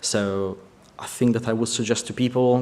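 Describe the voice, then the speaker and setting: With an Italian accent, a man talks in a monotone, flat intonation. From Italy. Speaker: vehicle concept artist. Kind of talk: conference presentation. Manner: halting.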